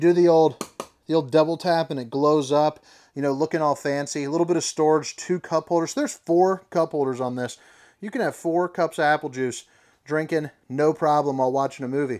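The man keeps his intonation fairly even. His delivery is fairly quick. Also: quiet background. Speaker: RV salesperson. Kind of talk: walkthrough tour commentary. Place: shop. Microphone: phone near.

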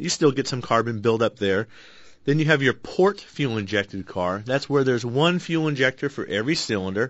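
A man with an ordinary speaking voice, medium pitch and lively intonation, at a fairly quick pace over a quiet background. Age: 40s. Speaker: auto repair shop owner and radio co-host; radio co-host. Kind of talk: call-in radio show. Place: studio.

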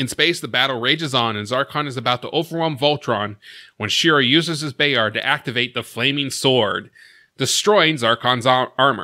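A man speaks at a moderate pace in a bright, sharp tone. The background is quiet. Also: ordinary pitch variation. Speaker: recap host. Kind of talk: episode recap narration. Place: home room. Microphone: studio mic.

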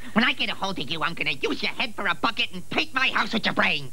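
A put-on character voice, gravelly and delivered at a very fast pace, comes through over clear background noise. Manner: menacing.

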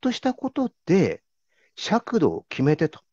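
A man speaks in a dry sound with no echo against a quiet background. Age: 50s. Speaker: corporate internal auditor; interviewee. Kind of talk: interview. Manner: formal. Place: home room. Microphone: video call.

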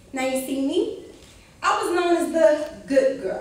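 A woman's extremely high voice in a room with strong echo. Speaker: military cadet. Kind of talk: spoken word poetry performance. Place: hall. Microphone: camera far.

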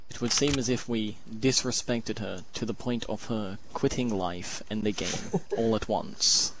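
This man's medium-pitched, unremarkable speaking voice moves at a fairly slow pace with hardly any pauses and fairly even intonation, in a dry sound with no echo over light background noise. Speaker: streamer, gamer. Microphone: headset.

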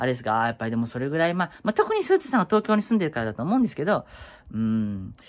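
His pitch ranges very widely. The man talks at a very fast pace. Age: 30s. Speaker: YouTuber; vlogger. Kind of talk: casual vlog monologue. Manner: halting, many fillers. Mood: concerned but chatty. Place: home room. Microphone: phone near.

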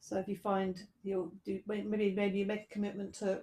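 A soft-spoken woman talks. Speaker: yoga teacher. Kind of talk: guided meditation. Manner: gentle, soft-spoken instructive cues. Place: home room.

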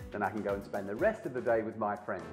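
The speaker sounds upbeat and enthusiastic, with music playing in the background. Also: man. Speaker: presenter. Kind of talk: TV infomercial presentation. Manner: upbeat, enthusiastic.

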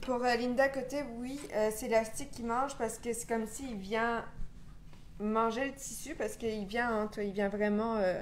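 With light background noise, a woman in a Quebec accent speaks at a fairly slow pace, fairly high pitch and fairly even intonation. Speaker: live chat moderator. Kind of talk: casual chat. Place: workshop.

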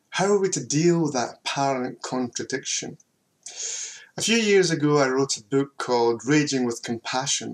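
The man's pitch is fairly high and varies in an ordinary way. He speaks at a moderate pace. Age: middle-aged. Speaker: theology professor. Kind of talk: lecture. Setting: home office recording. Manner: enthusiastic.

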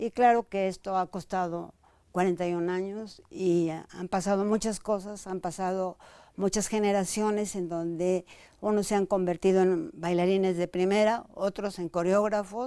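A woman of medium pitch with a dark, mellow tone, fairly even intonation and a fairly slow pace, in a dry sound with no echo over a quiet background. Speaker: dancer and choreographer, dance company director; guest. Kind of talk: interview conversation. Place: studio. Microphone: lapel.

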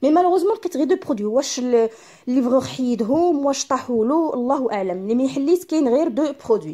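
Against a quiet background, a woman talks at a moderate pace and high pitch with lively intonation. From Morocco. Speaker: beauty YouTuber. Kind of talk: product unboxing vlog. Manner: switches between Darija and French. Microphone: phone near.

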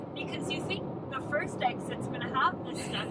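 A woman's voice in a dry sound with no echo, over loud background noise. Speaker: driver vlogger. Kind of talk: casual vlog chat. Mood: amused, ranting playfully. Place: car.

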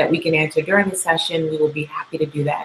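A woman with an unremarkable speaking voice talks at a fairly low pitch, with fairly even intonation. Light background noise is present. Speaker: show host. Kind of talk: host introduction. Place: studio. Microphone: webcam.

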